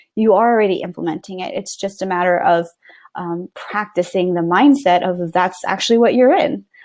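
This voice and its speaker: A woman with an unremarkable speaking voice talks at a moderate pace, her medium pitch moving with ordinary variation. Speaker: online business coach. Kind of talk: webinar presentation. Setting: live webinar call.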